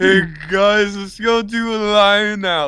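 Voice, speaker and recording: A man puts on a character voice, high for a man and fairly slow. His intonation stays monotone and flat. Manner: oblivious, casual, cheerful.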